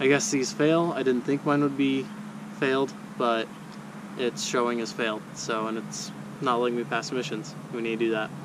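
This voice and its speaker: A man's lively intonation at a moderate pace, with long, frequent pauses, dry sound with no echo and noticeable background noise. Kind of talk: tutorial. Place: street. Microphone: phone near.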